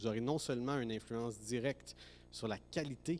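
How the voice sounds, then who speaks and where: A man speaks at a moderate pace with a medium pitch. He has an unremarkable speaking voice. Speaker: professor. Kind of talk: ceremonial speech. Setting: graduation ceremony hall.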